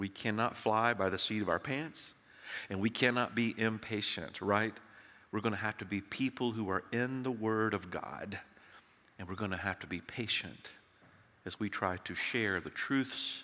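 A man with a Southern US accent speaks in a fairly low, bright, sharp tone at a moderate pace, with ordinary pitch variation and long, frequent pauses. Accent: Southern American. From US South, Tennessee. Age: 60s. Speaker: preacher. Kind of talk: sermon. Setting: church.

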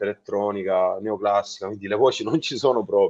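A man's voice, moderate in pace, over a quiet background. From Salento, Apulia, southern Italy. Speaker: keyboard player in a rock band. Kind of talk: interview.

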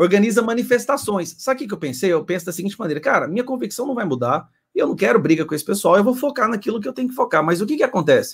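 The speech runs at a very fast pace with hardly any pauses. Its pitch swings very widely. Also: man, high pitch for a man. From Goiás, Brazil. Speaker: political channel host. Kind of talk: casual chat.

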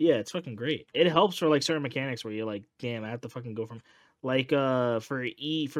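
Here is a man's unremarkable speaking voice at a medium pitch. The recording is very clean, with a silent background. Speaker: podcast host. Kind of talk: casual chat.

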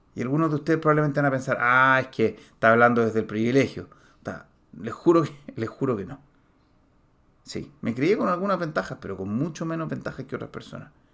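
Talking at a very fast pace, a man of medium pitch uses lively intonation and big swings in loudness. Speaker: podcast host, personal development coach. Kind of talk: motivational monologue. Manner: animated; halting, many fillers.

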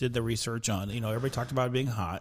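A man speaks with an American accent and an unremarkable speaking voice. His pitch is medium, with ordinary pitch variation. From Southern California. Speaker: barbecue enthusiast. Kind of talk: casual chat.

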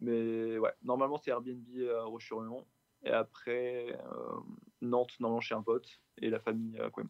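Long pauses come often as the man talks at a fairly slow pace. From Brittany, France (Rennes, Vitré). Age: 20s. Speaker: football supporter. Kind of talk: casual interview. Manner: hesitant, many fillers.

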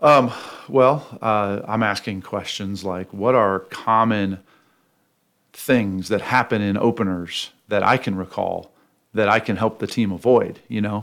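A man talks with a plain, everyday voice and fairly even intonation. The recording is very clean, with a silent background. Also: fairly low pitch for a man. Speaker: college football head coach. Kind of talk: pregame interview, casual.

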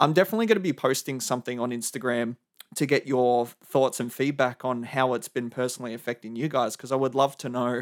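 In a very clean recording with a silent background, a man with an Australian accent speaks at a fairly quick pace and medium pitch, the sound dry and close with no echo. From Melbourne, Australia. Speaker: podcast host. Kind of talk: solo monologue podcast.

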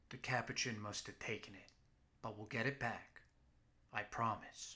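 Putting on a gruff character voice, a man speaks at a medium pitch and moderate pace with monotone, flat intonation and big swings in loudness. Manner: curt, demanding, dry amusement.

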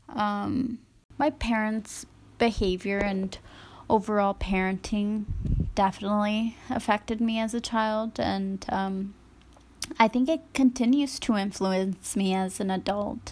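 At a fairly slow pace, a woman speaks in a somewhat breathy voice with a medium pitch and ordinary pitch variation. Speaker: stay-at-home mother. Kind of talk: personal reflection.

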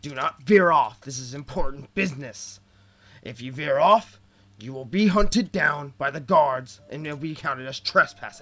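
A gruff put-on character voice from a man, moderate pace, lively intonation, faint music in the background. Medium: actual play. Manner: brisk, authoritative.

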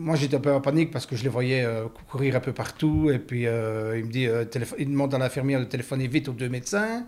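This man rushes along at a very fast pace, his medium-pitched voice showing ordinary pitch variation. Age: 60s. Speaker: heart surgery patient. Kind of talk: testimony. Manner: halting.

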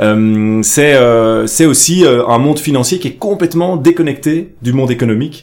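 A man at a fairly slow pace with hardly any pauses, fairly high in pitch, ordinary pitch variation, an ordinary speaking voice. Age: 30s. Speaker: politician and entrepreneur. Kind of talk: casual interview discussion.

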